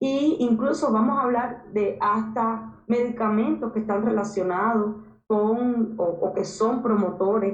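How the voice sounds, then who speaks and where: A woman at a fairly high pitch and a very slow pace, with fairly even intonation and audible room echo. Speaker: university lecturer. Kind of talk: lecture.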